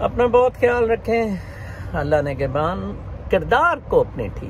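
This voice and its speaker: A man speaks over noticeable background noise. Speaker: religious commentator. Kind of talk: casual vlog commentary on religion and politics. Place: garden. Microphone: phone near.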